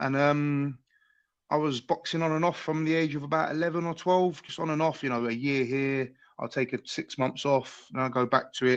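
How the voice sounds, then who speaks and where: At a moderate pace, a man with a London accent and a fairly high pitch speaks with fairly even intonation against a quiet background. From London, Tottenham. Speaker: mixed martial arts fighter. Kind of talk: interview. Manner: casual, hesitant with fillers.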